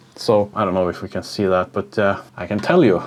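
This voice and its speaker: Over noticeable background noise, a man speaks at a moderate pace with a fairly low pitch and monotone, flat intonation. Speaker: music producer and YouTuber. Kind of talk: casual vlog talk to camera. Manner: halting, many filler uhs.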